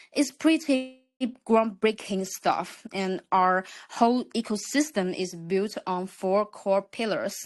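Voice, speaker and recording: A woman talks in a Chinese accent at a very slow pace. Her medium-pitched voice has lively intonation. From China. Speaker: crypto project representative. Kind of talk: project presentation.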